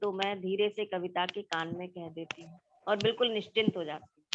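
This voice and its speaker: A woman is talking here. The rise and fall of her pitch is ordinary. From India, Madhya Pradesh (Gwalior). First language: Marathi (speaking Hindi). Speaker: poet. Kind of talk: interview.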